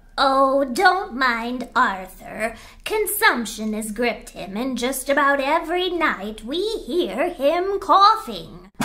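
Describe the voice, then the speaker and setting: A female-sounding put-on character voice swings very widely in pitch at a very slow pace, with clear background noise. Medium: audio drama. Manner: chatty, complaining.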